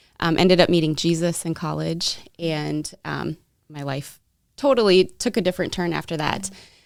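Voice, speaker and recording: With a slight Minnesota accent, a woman speaks at a moderate pace and a fairly low pitch, with ordinary pitch variation. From Minnesota, US. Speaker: direct sales partner for a fair trade company. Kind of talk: interview.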